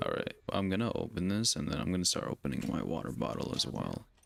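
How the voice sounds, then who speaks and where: A soft-spoken man with a very deep, low voice, fairly quick, with very wide pitch swings over noticeable background noise. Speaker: gaming streamer. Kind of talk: live gameplay stream chat. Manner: soft-spoken, talking low.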